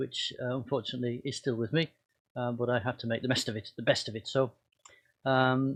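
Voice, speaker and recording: A man speaks at a fairly quick pace in a somewhat breathy, medium-pitched voice. His intonation is monotone and flat. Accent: northern English. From northern England, Cumbria and Wigan. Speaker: pastor. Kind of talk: personal talk to congregation. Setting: video recording. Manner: halting, many fillers.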